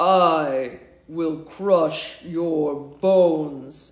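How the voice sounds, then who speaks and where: A man's put-on character voice with audible echo. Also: fairly high pitch for a man. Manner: menacing.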